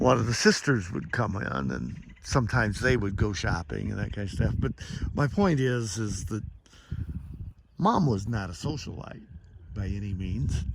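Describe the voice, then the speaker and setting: A man with an American accent and fairly low pitch, very wide pitch swings and vocal fry, at a fairly slow pace with long, frequent pauses and audible room echo. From US Midwest, Indiana. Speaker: devotional vlogger. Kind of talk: devotional monologue. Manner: casual, folksy.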